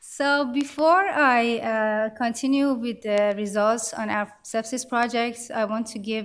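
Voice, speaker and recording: The woman speaks with a non-native accent. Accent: foreign. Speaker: clinical data scientist. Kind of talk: conference presentation.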